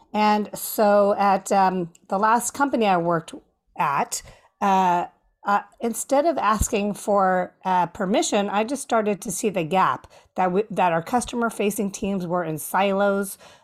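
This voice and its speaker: Fairly slow speech with ordinary pitch variation, on a very clean recording with a silent background. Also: woman, medium pitch for a woman. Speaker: customer experience consultant and author. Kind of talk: interview. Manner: passionate.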